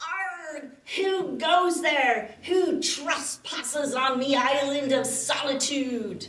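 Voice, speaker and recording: Using a put-on character voice, a woman speaks very slowly with a high pitch and a slight echo. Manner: menacing, challenging.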